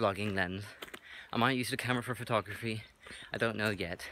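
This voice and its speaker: A man mumbling in a fairly low voice, with ordinary pitch variation. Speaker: vlogger, hobby photographer. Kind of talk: casual vlog. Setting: outdoors, hiking. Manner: trying to articulate carefully.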